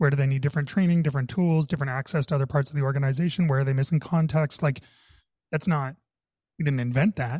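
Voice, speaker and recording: Speaking at a very fast pace, a man with a fairly high pitch and a dark, mellow tone sounds somewhat breathy, with fairly even intonation and very even loudness. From Canada. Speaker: tech executive and workplace consultant. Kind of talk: podcast interview conversation. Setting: video call.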